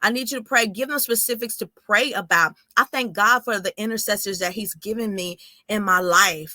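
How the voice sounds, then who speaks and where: A woman's animated, bright, sharp voice with an American accent, in a dry, close sound with no echo. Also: fairly high pitch for a woman, ordinary pitch variation. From Texas, small town near Houston. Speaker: author and minister. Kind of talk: interview testimony with preaching. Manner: fast; high energy, animated.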